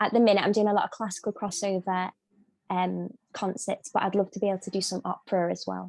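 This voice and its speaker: A woman with a Scouse accent speaking very fast, in a dry, close sound with no echo, on a very clean recording with a silent background. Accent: Scouse, moderate. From Liverpool, England. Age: 20s. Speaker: singer. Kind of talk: interview. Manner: halting.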